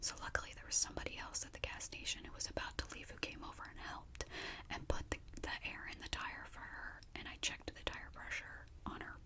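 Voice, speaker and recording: A woman whispers at a fairly quick pace, her loudness swinging widely. Noticeable background noise runs underneath. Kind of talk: whispered story time, casual chatty talk to camera. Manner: whispered, chatty.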